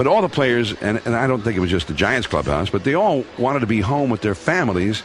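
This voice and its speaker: A man's very fast, medium-pitched speech with an American accent, very wide pitch swings, very even loudness and hardly any pauses, over noticeable background noise. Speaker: sports broadcaster. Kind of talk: interview answer, recounting memories.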